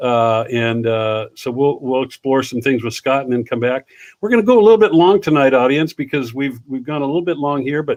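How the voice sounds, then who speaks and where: At a fairly quick pace with hardly any pauses, a man speaks in a plain, everyday voice at medium pitch with ordinary pitch variation. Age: 60s. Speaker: livestream talk show host. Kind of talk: casual interview chat.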